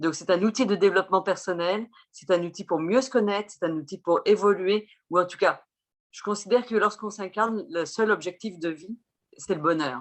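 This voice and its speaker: In a plain, everyday voice, a woman speaks at a medium pitch and moderate pace, with ordinary pitch variation and big swings in loudness. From France. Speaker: chirologist and Vedic astrologer. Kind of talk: interview explanation.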